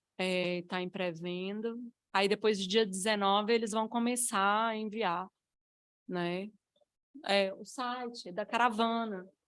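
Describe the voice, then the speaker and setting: Speaking at a very slow pace with long, frequent pauses, a woman uses a medium pitch and fairly even intonation. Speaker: author and speaker on mental health. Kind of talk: casual remarks at seminar. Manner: halting.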